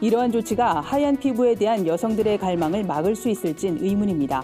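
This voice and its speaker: Over music in the background, a woman with a fairly high pitch talks fairly quickly with lively intonation. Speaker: news reporter. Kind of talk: news briefing read.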